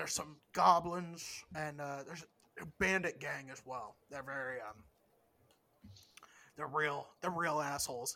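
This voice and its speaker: A man's put-on character voice, fairly high in pitch, at a moderate pace with long, frequent pauses. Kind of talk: game master voicing an NPC. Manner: casual, chatty, mouth full while eating.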